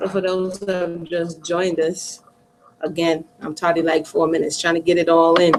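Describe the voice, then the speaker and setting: A woman with a plain, everyday voice speaks at a moderate pace and a medium pitch. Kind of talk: casual talk to camera, commentary. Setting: online livestream hangout.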